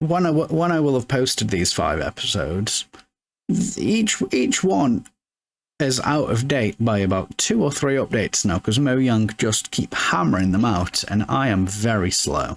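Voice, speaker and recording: In a British accent, a man with a medium pitch speaks at a fairly slow pace, his pitch swinging very widely while his loudness stays very even. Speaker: gaming let's play creator. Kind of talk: casual gameplay commentary. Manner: many filler words and stammers.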